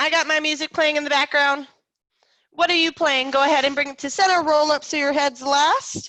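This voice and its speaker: A woman speaks in a raised, projected voice at a high pitch and a fairly quick pace. Her tone is bright, sharp and energetic. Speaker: fitness instructor. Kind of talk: fitness class instruction. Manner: energetic, encouraging.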